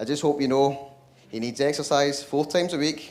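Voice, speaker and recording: With a strong Scottish accent, a man speaks at a moderate pace in a fairly high pitch, and the room echo is audible. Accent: Scottish, thick. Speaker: brother of the groom giving wedding speech. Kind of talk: wedding speech. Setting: wedding reception.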